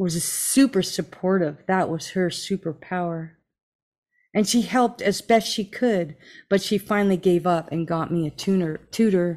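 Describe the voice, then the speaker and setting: Here is an unremarkable speaking voice: a woman at a medium pitch, with an American accent, at a fairly slow pace and ordinary pitch variation. The recording is very clean, with a silent background. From New Jersey. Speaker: podcast host. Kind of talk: live interview. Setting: live stream. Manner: warm, effusive.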